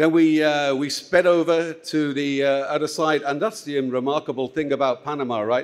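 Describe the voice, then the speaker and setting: With a normal speaking voice, a man at fairly high pitch talks at a moderate pace with fairly even intonation. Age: 60s. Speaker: conference moderator. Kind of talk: conference opening remarks. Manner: informal, many filler words.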